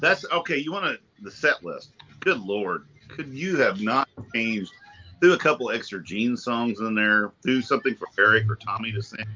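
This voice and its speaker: Medium pitch, moderate pace and lively intonation from a man with an ordinary speaking voice. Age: 50s. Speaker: panelist. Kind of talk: casual chat.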